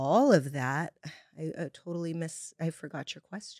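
A woman with an unremarkable speaking voice and fairly low pitch talks at a fairly slow pace, with a dry, close sound and no echo. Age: 50s. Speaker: podcast host sharing her own story. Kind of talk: personal testimony in casual interview.

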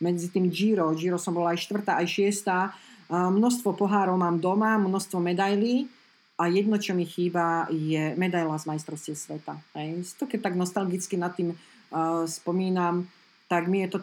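A woman speaks fairly slowly in a normal speaking voice with fairly low pitch and fairly even intonation. The recording is very clean, with a silent background. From Slovakia. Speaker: former pro cyclist, teacher and coach. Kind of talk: casual interview.

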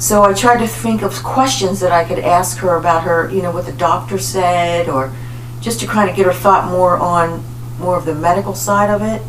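Against noticeable background noise, a woman with a fairly low pitch speaks with very wide pitch swings. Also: moderate pace. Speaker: podcast host. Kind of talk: scripted podcast intro and panel discussion.

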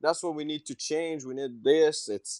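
With a Quebec French accent, a man is heard against a quiet background in a dry, close sound with no echo. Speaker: race car driver. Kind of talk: interview. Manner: halting.

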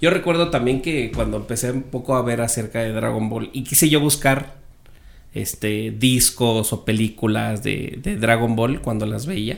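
A man's medium-pitched voice, a normal speaking voice, at a fairly slow pace with ordinary pitch variation. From Mexico City and Sonora. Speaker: podcast guest. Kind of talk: casual chat.

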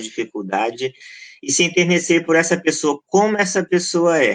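Man with an unremarkable speaking voice, ordinary pitch variation and a fairly slow pace. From Goiás, Brazil. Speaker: pastor and researcher. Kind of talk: podcast interview.

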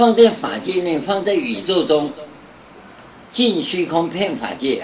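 The man's voice is high and swings very widely in pitch. Noticeable background noise and audible room echo fill the recording. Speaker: Buddhist monk teacher. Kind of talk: dharma lecture. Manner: conversational with frequent filler particles.

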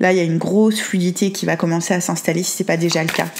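A woman with fairly even intonation, against noticeable background noise. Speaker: tarot card reader. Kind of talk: tarot reading monologue.

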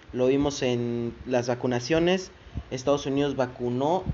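This man has a fairly high pitch and speaks with a Mexican accent. His intonation stays fairly even. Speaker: podcast host. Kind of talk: casual news commentary. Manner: informal, conversational.

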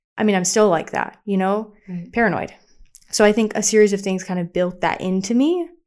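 A woman with a plain, everyday voice talks at a fairly quick pace, her medium pitch moving with ordinary variation. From US South. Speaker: podcast co-host. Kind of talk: casual chat.

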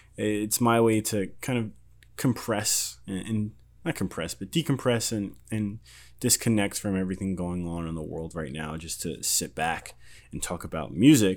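A man with an ordinary speaking voice and fairly low pitch talks at a moderate pace with lively intonation in a very clean recording against a silent background. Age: 20s. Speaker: music podcast host. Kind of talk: casual solo podcast monologue. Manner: casual, rambling with frequent repetitions and fillers.

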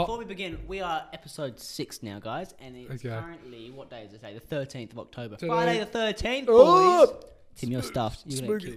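Very fast and with hardly any pauses, a man with a fairly high pitch speaks with very wide pitch swings and big swings in loudness. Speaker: podcast co-host; university student. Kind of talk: casual, profane.

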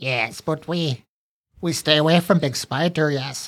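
A man puts on a raspy character voice at a fairly high pitch, speaking at a fairly slow pace. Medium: actual play. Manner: broken speech, talks of himself in third person; frightened, pleading, eager to bargain.

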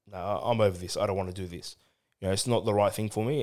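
A man with an Australian accent, fairly low in pitch and very fast, on a very clean recording with a silent background. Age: 30s. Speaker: churchgoer and ministry volunteer. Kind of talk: casual chat. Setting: studio.

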